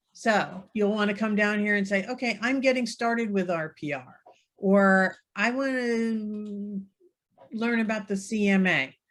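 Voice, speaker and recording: An ordinary speaking voice from a woman at medium pitch, with a fairly slow pace and ordinary pitch variation. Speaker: real estate software trainer. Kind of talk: webinar tutorial.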